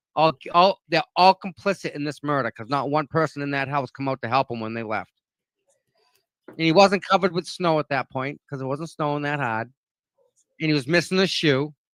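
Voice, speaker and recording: In a Boston accent, a man with a fairly high pitch and ordinary pitch variation speaks at a fairly quick pace in an animated tone, recorded very cleanly against a silent background with a dry, close sound and no echo. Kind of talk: casual chat.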